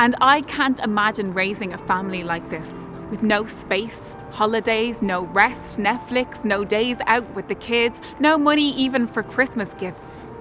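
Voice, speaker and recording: Music plays in the background. A woman speaks at medium pitch and a moderate pace. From Ireland. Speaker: spoken word poet. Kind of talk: spoken word poetry performance.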